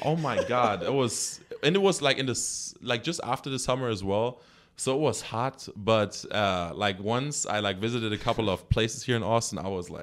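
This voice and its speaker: Speaking with a German accent, a man uses lively intonation at a medium pitch and a moderate pace. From Germany. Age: 20s. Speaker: track and field athlete. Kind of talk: casual interview chat.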